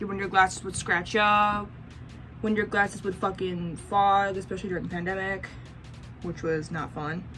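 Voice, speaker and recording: A woman with an American accent speaks at a medium pitch with fairly even intonation while music plays in the background. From US Midwest, Racine, Wisconsin. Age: 20s. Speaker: vlogger. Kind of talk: casual vlog chat.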